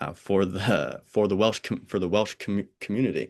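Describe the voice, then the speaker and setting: A man with a fairly low pitch at a fairly slow pace, against a quiet background. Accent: American. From US, Pennsylvania and Oregon. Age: 20s. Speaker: podcast host. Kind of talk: casual chat. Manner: halting, many repetitions.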